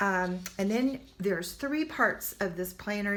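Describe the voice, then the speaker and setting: A woman speaks in a plain, everyday voice. Her pitch sits in the middle range, with ordinary rises and falls. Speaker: online homesteading teacher. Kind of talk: product walkthrough.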